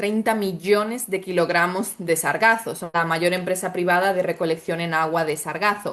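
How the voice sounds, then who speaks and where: A woman speaks with a Spanish accent. Her pace is fairly quick. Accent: Spanish (Spain). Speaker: startup founder in sargassum recycling. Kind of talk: webinar panel answer.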